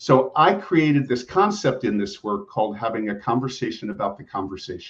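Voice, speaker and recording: A man's medium-pitched voice at a fairly quick pace, with very wide pitch swings. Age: 60s. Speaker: executive coach and family therapist. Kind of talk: interview podcast.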